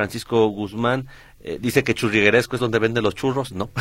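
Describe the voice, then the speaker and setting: A normal speaking voice from a man, medium in pitch at a fairly quick pace, in a very clean recording with a silent background. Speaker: substitute radio host. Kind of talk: radio talk show.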